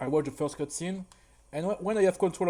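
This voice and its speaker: A man's dark, mellow voice with a French accent and ordinary pitch variation. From France. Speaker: speedrunner. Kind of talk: tutorial. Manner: halting, frequent repetitions.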